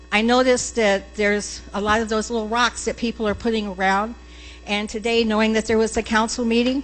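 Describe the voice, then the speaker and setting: Music plays in the background as the speech moves at a moderate pace with monotone, flat intonation. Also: woman. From US Southwest, Phoenix area (Arizona). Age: 70s. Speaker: resident speaking at public comment. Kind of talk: public comment at council meeting. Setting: city council meeting chamber.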